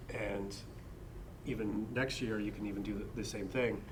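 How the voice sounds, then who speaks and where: With an American accent and a fairly low pitch, a man speaks at a moderate pace in a monotone, flat intonation, with audible room echo. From Pennsylvania, US. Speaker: horror author, panelist. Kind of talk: convention panel discussion. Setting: panel at a book convention.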